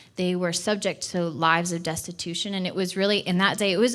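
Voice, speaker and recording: This woman has a fairly low pitch and fairly even intonation. She speaks at a fairly quick pace. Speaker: church missions director. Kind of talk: sermon. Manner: fast.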